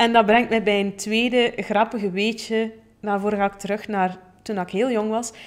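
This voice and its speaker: A woman with a Flemish accent, fairly high-pitched, at a moderate pace with monotone, flat intonation. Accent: Flemish Dutch. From Flanders, Belgium. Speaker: podcast host, plant-based chef and coach; podcast host. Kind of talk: personal storytelling monologue. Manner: casual with many fillers. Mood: warm, cheerful. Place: studio. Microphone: studio mic.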